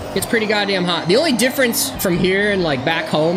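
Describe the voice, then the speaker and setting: A woman with an American accent speaks at a medium pitch with lively intonation. The room echo is audible and background noise is noticeable. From Illinois, West Chicago suburbs. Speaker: gaming streamer. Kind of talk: casual chat. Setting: live stream.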